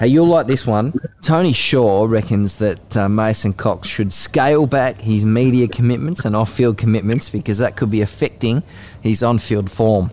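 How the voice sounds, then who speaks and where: Speaking at a moderate pace in an Australian accent, the voice keeps very even loudness and ordinary pitch variation. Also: man, medium pitch for a man. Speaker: sports journalist and podcast host. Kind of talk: casual chat. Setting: studio.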